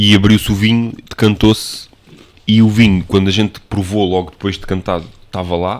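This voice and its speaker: A man speaks at a moderate pace in a fairly low pitch, with a monotone, flat delivery. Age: 30s. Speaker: podcast co-host, wine enthusiast. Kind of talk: casual chat.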